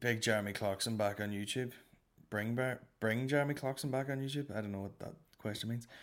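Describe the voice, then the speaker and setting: A man in a Northern Irish accent talks at a fairly quick pace, his pitch medium. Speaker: comedy podcast host. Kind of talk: casual comedic monologue. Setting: home recording straight into editing software. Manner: animated.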